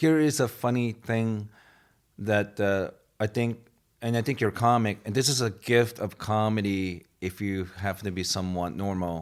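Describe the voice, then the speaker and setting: Speaking with a slight Asian accent, a man keeps a moderate pace and a medium pitch in a very clean recording with a silent background. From Japan. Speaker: guest on comedy talk show. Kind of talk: casual chat. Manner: halting.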